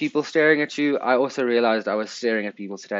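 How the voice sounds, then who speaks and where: A man in a South African accent, at a very fast pace, with medium pitch and ordinary pitch variation. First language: Afrikaans. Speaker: podcast host. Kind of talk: casual chat.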